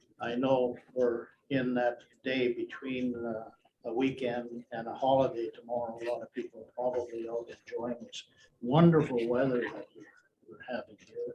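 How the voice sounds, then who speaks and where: At a moderate pace and medium pitch, a man speaks in monotone, flat intonation. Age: 70s. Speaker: retired lawyer. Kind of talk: talk to an audience. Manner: halting.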